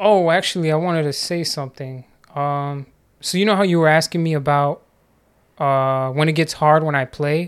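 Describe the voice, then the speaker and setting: The recording is very clean, with a silent background. A man with a fairly high pitch speaks at a moderate pace with fairly even intonation. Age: 20s. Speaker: street guitarist. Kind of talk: casual chat. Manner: halting.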